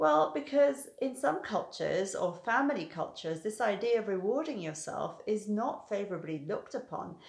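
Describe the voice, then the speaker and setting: With a British accent, a woman talks at a moderate pace with hardly any pauses, her fairly high pitch making very wide swings. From Britain. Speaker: hypnotherapist. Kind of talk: educational talk to camera.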